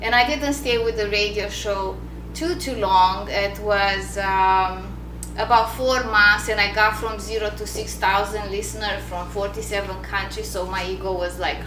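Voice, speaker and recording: With noticeable background noise and audible room echo, a woman speaks at a fairly slow pace. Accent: non-native. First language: not English. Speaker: author and business coach. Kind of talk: book launch talk to an audience.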